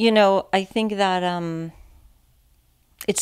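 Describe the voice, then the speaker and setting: A woman speaks with a Californian accent and fairly even intonation. The recording is very clean, with a silent background. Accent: American, Californian. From San Francisco, California. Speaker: podcast guest, recovering addict, CrossFit athlete. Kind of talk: casual chat.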